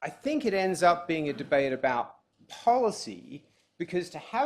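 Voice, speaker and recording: A high-pitched man talks at a fairly slow pace with a strong Australian accent. His pitch swings very widely. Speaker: law professor. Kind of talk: formal debate speech. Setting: conference room with live audience.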